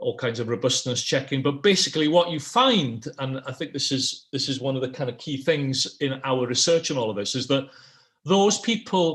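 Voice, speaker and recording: Speaking at a moderate pace, a man with a Welsh accent uses a fairly high pitch and ordinary pitch variation. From Wales. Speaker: political scientist. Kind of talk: online panel presentation. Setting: online event.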